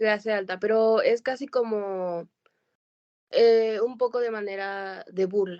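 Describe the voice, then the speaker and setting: Very slowly and with fairly even intonation, a woman speaks in a fairly high pitch with a dark, mellow tone against a quiet background. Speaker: podcast co-host. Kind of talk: casual chat.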